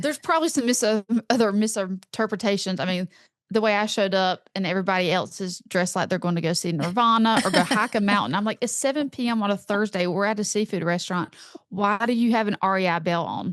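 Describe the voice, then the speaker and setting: Talking very fast in an animated tone, a woman with a medium pitch and ordinary pitch variation is heard against a quiet background, the sound dry and close with no echo. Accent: strong Southern US. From North Carolina, US South. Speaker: author and content creator. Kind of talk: podcast interview.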